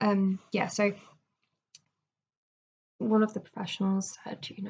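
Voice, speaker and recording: A woman speaks at a fairly slow pace and a medium pitch, somewhat breathy and flat in intonation, with long, frequent pauses and big swings in loudness. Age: 20s. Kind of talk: casual video diary talk to camera. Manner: hesitant, halting, many fillers.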